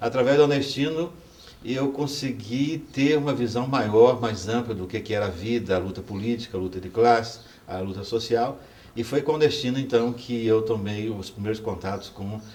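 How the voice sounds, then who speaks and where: A man speaks at medium pitch and a moderate pace. Audible room echo surrounds his voice. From Brazil, Goiás (Itaberaí). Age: 60s. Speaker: professor and former student activist. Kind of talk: oral history testimony. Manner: halting, with fillers.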